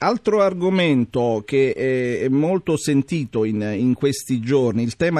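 A man speaks in a dark, mellow tone with lively intonation. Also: dry, close sound with no echo. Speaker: radio host. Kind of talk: listener question segment.

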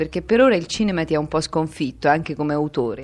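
Her pitch swings very widely as this woman speaks. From Tuscany, near Grosseto. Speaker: radio interviewer. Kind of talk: radio interview.

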